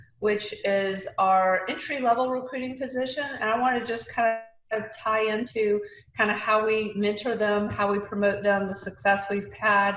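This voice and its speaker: A woman with an Atlanta accent speaks at a moderate pace and a fairly high pitch, her intonation fairly even, with audible room echo. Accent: Southern US (Atlanta). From Atlanta, US South. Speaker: recruiting leader. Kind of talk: panel discussion.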